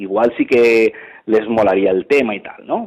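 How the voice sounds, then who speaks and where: A man is speaking. He talks at a fairly slow pace. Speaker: sports commentator. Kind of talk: interview answer. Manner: casual, colloquial.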